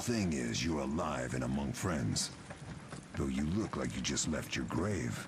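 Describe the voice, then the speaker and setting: A man talks at a moderate pace in a put-on character voice. Loud noise fills the background. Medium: game stream.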